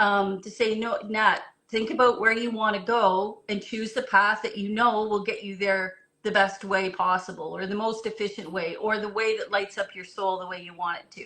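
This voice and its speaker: A woman speaks at a moderate pace in a medium pitch, her intonation flat and monotone while her loudness swings widely. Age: 60s. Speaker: marketing executive. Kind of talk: interview conversation.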